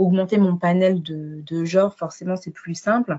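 A woman's fairly low voice carries monotone, flat intonation. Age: 20s. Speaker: midwife and book blogger. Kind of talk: interview testimony.

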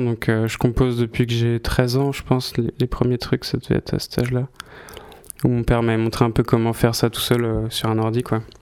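Medium-pitched male speech at a moderate pace against noticeable background noise. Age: 20s. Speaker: musician. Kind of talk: interview.

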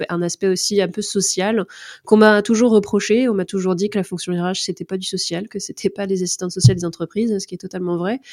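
Dry and close with no echo, the voice keeps a moderate pace and fairly even intonation on a very clean recording with a silent background. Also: woman. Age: 30s. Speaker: content creator and HR influencer. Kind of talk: interview. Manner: hesitant, many fillers.

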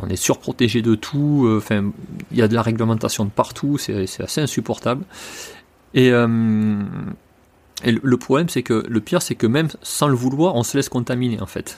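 On a very clean recording with a silent background, a man at medium pitch speaks at a moderate pace with ordinary pitch variation and long, frequent pauses. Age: 40s. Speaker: horse trainer. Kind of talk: interview.

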